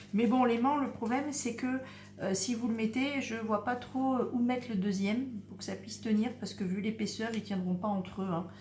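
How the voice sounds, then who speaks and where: A soft-spoken woman with a fairly high pitch and ordinary pitch variation speaks at a moderate pace, with noticeable background noise and audible room echo. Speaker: crafts youtuber. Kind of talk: tutorial. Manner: hesitant.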